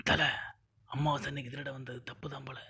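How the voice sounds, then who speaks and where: Putting on a raspy character voice at medium pitch, a man speaks at a moderate pace in a monotone, flat delivery with a nervous tone. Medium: short film. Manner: nervous, deferential.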